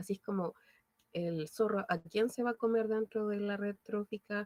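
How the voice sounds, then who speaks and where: A woman speaks at a moderate pace and medium pitch, her tone dark and mellow. Her intonation stays fairly even, and the sound is dry and close with no echo. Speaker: biology teacher. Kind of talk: online lecture.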